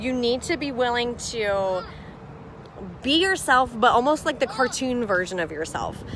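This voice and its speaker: Over noticeable background noise, a woman speaks loudly at a high pitch with lively intonation. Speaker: business coach. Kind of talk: live stream chat. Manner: loud, boisterous; fast.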